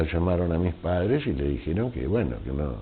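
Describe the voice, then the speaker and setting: A man with a very deep, low pitch and ordinary pitch variation. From Argentina, Mar del Plata (born in Veneto, Italy). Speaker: immigrant interviewee. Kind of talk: oral history interview.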